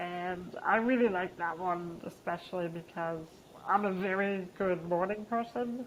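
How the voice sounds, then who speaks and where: Using an ordinary speaking voice, a woman talks at a fairly slow pace with a fairly low pitch. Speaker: peer support facilitator. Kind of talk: casual chat interview.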